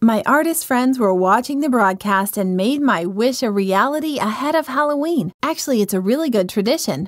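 A woman speaks at a moderate pace against a quiet background. Her pitch is high and her intonation lively. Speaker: doll reviewer. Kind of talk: review presentation. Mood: cheerful, friendly. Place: home room. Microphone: lapel.

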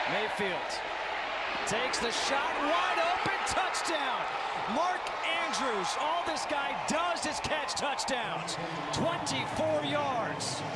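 Loud noise fills the background. The speech is very slow, with long, frequent pauses. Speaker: play-by-play announcer. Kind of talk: live play-by-play football commentary. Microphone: headset.

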